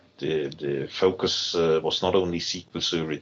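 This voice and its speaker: A man with a German accent and a very deep, low pitch, over noticeable background noise. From Germany. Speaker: technology team lead. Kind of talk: podcast interview. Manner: halting, many fillers.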